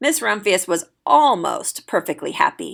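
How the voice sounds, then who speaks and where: A woman speaks in a raspy, put-on character voice at a moderate pace. The recording is very clean, with a silent background. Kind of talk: bedtime story. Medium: read story.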